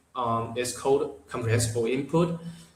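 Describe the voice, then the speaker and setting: Audible room echo and noticeable background noise surround a man speaking at a medium pitch and moderate pace with fairly even intonation. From Taiwan. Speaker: English learner. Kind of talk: interview. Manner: halting, many repetitions and fillers.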